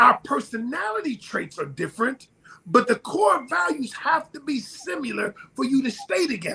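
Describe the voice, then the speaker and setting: The tone is bright, sharp and animated. The voice is raised and projected. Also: man. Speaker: relationship advice guest on podcast. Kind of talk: podcast discussion. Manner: loud.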